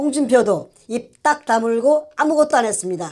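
In a quiet background, a woman with a fairly high pitch and a dark, mellow tone speaks at a fairly slow pace with ordinary pitch variation. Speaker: co-host. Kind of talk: political commentary. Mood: indignant, accusatory. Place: studio.

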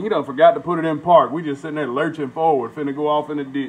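The speech moves at a very fast pace. Light background noise sits behind it. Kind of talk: casual storytelling while cooking. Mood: amused, laid-back. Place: kitchen. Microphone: phone near.

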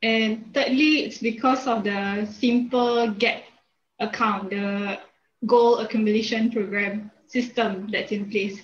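Somewhat breathy, the voice moves at a very slow pace with fairly even intonation. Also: woman, fairly high pitch for a woman. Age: 20s. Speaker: business graduate. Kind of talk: testimony. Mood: friendly, calm. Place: home room. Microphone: video call.

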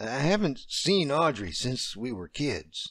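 Putting on a character voice, a man speaks fairly slowly in a fairly high, shaky tone with very wide pitch swings.

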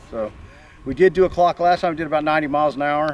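Very fast speech comes from a man over light background noise. The sound is dry, with no echo. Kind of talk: casual vlog chat. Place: open country.

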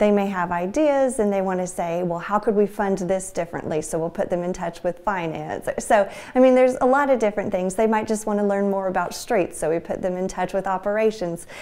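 A woman at a fairly quick pace with hardly any pauses and ordinary pitch variation. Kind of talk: interview answer. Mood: friendly, smiling. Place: office. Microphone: lapel.

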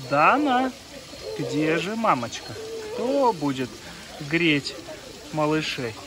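A man speaks slowly at a fairly high pitch with a fairly bright tone. His pitch swings widely over faint background noise.

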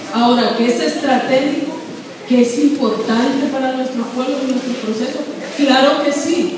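A woman with a high pitch and fairly even intonation at a moderate pace, amid noticeable background noise and strong room echo. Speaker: community workshop facilitator. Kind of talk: public talk to a community meeting. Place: hall. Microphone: camera far.

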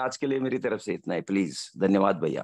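A man speaks against a quiet background. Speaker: engineering professor. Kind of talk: testimony. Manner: animated.

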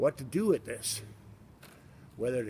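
A somewhat breathy man over light background noise. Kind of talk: casual walking tour commentary. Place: street. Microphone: phone near.

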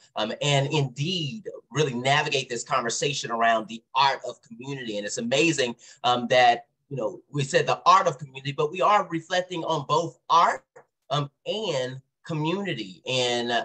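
The intonation is lively and the tone bright and sharp. The background is quiet. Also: man, fairly high pitch for a man, moderate pace. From US South. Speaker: event moderator. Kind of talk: event remarks. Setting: virtual event. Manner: frequent filler words. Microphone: video call.

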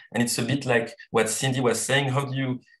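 A somewhat breathy man talks against a quiet background. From Tahiti, French Polynesia. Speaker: social entrepreneur. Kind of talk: panel discussion. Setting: video call. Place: home room. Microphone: video call.

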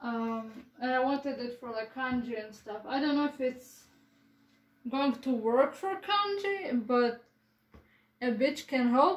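With lively intonation and a high pitch, a woman speaks at a very slow pace with long, frequent pauses, and audible room echo surrounds her. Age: 20s. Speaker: vlogger. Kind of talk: casual vlog chat. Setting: at home, filming own room. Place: home room.

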